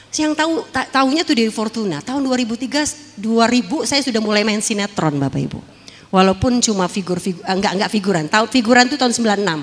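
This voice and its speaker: Lively intonation carries speech at a very fast pace. Background noise is noticeable. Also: woman, fairly high pitch for a woman. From Jakarta, Tanjung Priok. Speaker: former dangdut singer and actress giving testimony. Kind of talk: testimony.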